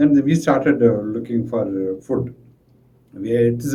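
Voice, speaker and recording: A man's somewhat breathy, dark, mellow voice of medium pitch, at a moderate pace with ordinary pitch variation. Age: 60s. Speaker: school administrator. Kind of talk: interview answer. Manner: halting.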